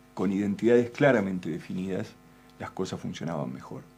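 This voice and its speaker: Music in the background behind a man at a fairly low pitch and moderate pace. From Argentina. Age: 60s. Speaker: political commentator. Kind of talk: interview.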